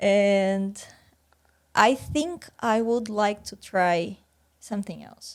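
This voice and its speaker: A woman speaks with a Portuguese accent. Her pitch is fairly high, with ordinary variation. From Brazil, countryside. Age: 30s. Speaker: PhD student. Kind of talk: podcast interview.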